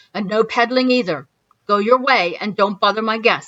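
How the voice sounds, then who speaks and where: A gruff, put-on character voice at a moderate pace. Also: woman, fairly high pitch for a woman. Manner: curt, dismissive.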